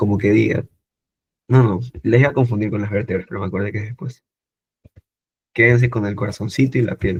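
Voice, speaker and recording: Somewhat breathy and at a fairly quick pace, a man with a medium pitch speaks in a dry, close sound with no echo. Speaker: medical student tutor. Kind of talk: online lecture. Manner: animated.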